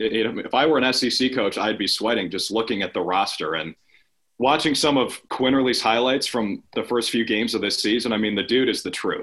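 A man speaks with an American accent in a plain, everyday voice, medium in pitch with ordinary pitch variation, at a fairly quick pace. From Minnesota. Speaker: local TV sports reporter. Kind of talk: casual chat.

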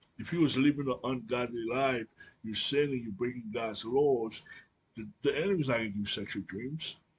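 Somewhat breathy and medium in pitch, a man speaks at a moderate pace with ordinary pitch variation. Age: 40s. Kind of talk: religious teaching monologue. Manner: hesitant with fillers.

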